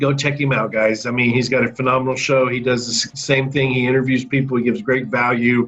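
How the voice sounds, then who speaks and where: Over background music, a man speaks at a medium pitch with a Southern US accent. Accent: Southern drawl. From US South. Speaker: podcast host. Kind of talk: casual interview chat.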